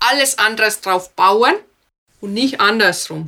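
In a bright, sharp tone, a woman speaks at a very slow pace. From Finland. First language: Finnish (speaking German). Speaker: speech trainer. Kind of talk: interview. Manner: fluent without filler sounds.

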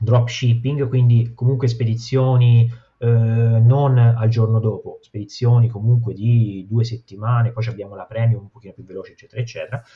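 Somewhat breathy and flat in intonation, a man speaks at a moderate pace with big swings in loudness. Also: medium pitch for a man. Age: 30s. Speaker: dropshipping entrepreneur. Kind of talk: casual interview.

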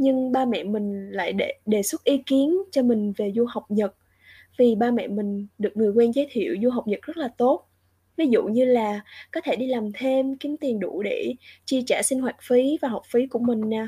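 A woman with a high pitch and a dark, mellow tone speaks at a moderate pace with ordinary pitch variation, the sound dry and close with no echo. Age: 20s. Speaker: student studying abroad. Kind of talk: casual interview.

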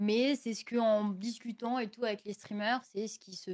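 This woman has a normal speaking voice. Her pace is fairly slow. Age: 20s. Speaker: streamer. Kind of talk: casual chat. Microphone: audio a bit quiet.

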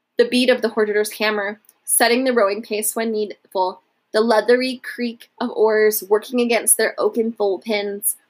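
Over a quiet background, a natural reading voice moves with fairly even intonation.

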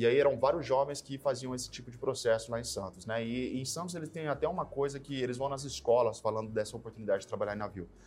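Over music in the background, a man talks at a very fast pace. His pitch is fairly high and his intonation lively. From São Paulo state, Brazil (São José do Rio Preto). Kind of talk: interview. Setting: studio.

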